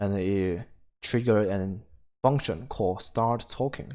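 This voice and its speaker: A man with a non-native accent talks at a fairly slow pace with ordinary pitch variation. The background is quiet. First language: not English. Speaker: indie game developer. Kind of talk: screen-recorded tutorial. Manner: halting, many fillers.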